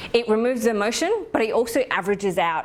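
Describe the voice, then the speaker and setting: In an Australian accent, a woman talks at a fairly quick pace over noticeable background noise. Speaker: financial adviser. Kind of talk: seminar presentation. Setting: live seminar with audience. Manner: fast.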